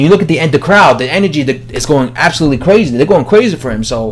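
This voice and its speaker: Noticeable background noise sits behind speech in a New York accent, delivered at a very fast pace with lively intonation. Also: man. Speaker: boxing commentator, video blogger. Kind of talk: casual opinion monologue. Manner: casual, many fillers.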